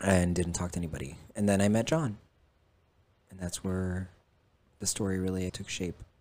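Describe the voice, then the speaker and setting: A man's very deep, low voice with a dark, mellow tone, fairly even intonation and big swings in loudness, at a moderate pace with long, frequent pauses. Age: 30s. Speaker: podcast guest sharing life story. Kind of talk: casual chat.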